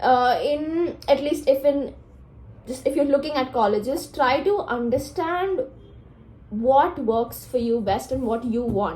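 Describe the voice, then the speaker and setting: A woman's high voice with ordinary pitch variation at a fairly slow pace, amid audible room echo. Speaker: law student vlogger. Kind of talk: casual vlog talk.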